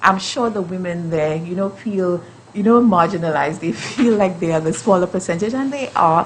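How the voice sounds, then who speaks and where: Noticeable background noise accompanies a woman speaking at a fairly quick pace. Her medium pitch shows ordinary variation. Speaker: justice system professional. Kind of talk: panel discussion. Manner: hesitant, many fillers and repeats.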